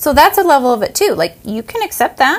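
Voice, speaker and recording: A woman's high-pitched voice with an American accent at a moderate pace. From United States. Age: 40s. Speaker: podcast co-host. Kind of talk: casual chat.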